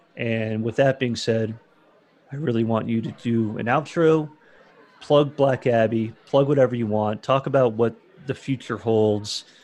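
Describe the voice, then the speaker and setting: A man with an American accent speaks at a fairly slow pace and fairly even intonation. Noticeable background noise is present. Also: medium pitch for a man. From Florida. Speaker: podcast host, beverage distributor employee. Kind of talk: casual interview.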